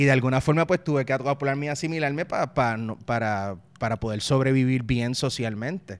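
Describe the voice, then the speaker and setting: On a very clean recording with a silent background, a man with a Puerto Rican accent talks at a fairly quick pace and medium pitch, with ordinary pitch variation and hardly any pauses. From Puerto Rico (partly raised in Mexico). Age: 30s. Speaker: political satirist and salsa singer. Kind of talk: interview.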